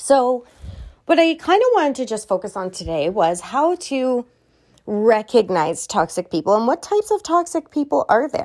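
At a moderate pace, a woman talks in a high pitch with very wide pitch swings, the sound dry and close with no echo. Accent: Canadian. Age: 40s. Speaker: podcast host. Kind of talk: casual monologue. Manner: animated.

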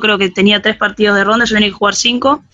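A woman talks at a medium pitch. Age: 30s. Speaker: university student, physical education teacher. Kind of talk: casual interview.

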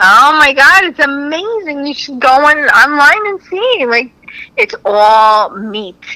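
A woman talks very slowly in a raised, projected, high voice with very wide pitch swings and big shifts in loudness. Noticeable background noise runs underneath. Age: 40s. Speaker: comedian. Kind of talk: casual chat.

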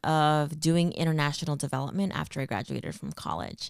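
A woman speaks with a Californian accent and ordinary pitch variation. The recording is very clean, with a silent background. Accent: Californian American English. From California, Central Valley (Stockton). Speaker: nonprofit program manager. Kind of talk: interview.

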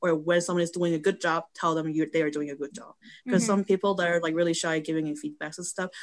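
A woman with a Korean accent talks at a very fast pace in a fairly low pitch. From South Korea. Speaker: photographer and model. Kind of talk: casual chat. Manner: halting.

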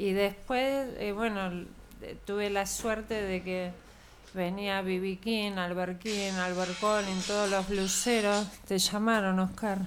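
A woman speaks very slowly at a medium pitch, her intonation flat and monotone, with audible echo in the room. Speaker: blues singer. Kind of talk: casual chat. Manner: soft-spoken.

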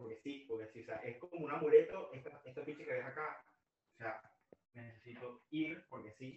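Fairly high-pitched male speech at a moderate pace, somewhat breathy, with big swings in loudness and ordinary pitch variation. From Venezuela (Maracay). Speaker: music fan guest. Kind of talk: casual interview chat.

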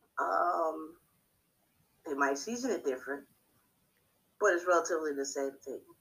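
With an American accent, a woman with a very deep, low pitch talks at a moderate pace, her intonation lively and broken by long, frequent pauses. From US, Haitian family. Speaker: podcast co-host. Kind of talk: casual chat.

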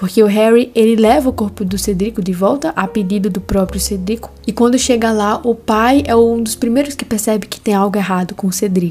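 With noticeable background noise behind her, a woman talks at a fairly quick pace in an animated tone, with a fairly high pitch, ordinary pitch variation and hardly any pauses. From Brazilian Northeast, interior. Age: 20s. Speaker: podcast host, theology student. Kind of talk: casual podcast monologue with Bible reading.

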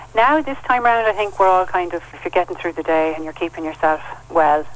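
A woman with a southeastern Irish accent talks at a very fast pace. Her pitch is fairly low. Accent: Irish (south-east). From Kilkenny and Carlow, Ireland. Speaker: author. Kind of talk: interview.

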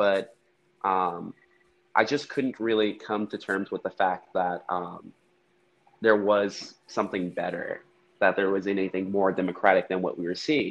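Fairly low in pitch, a man talks in an ordinary speaking voice with fairly even intonation. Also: fairly slow pace. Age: young. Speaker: university student. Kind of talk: casual chat. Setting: at work, background noise.

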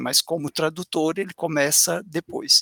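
In a dry, close recording with no echo, a man speaks at a fairly slow pace with a bright, sharp tone. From interior of Minas Gerais, Brazil (Patos de Minas). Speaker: university professor. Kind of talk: interview.

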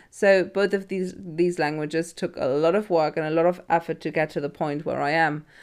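A woman's ordinary speaking voice at a fairly quick pace, with fairly even intonation, hardly any pauses and a very clean recording against a silent background. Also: fairly low pitch for a woman. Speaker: teacher and podcast host. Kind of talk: casual chat.

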